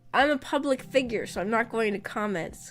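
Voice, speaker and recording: Her pitch swings very widely as the woman speaks. Noticeable background noise runs behind her. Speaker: VTuber streamer. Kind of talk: casual chat. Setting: live stream.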